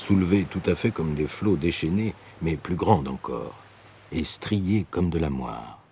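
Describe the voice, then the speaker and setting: Despite a fairly slow pace, the man's very deep, low voice carries lively intonation. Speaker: narrator reading a literary text. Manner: vivid, expressive, slow and suspenseful pacing, rising intensity.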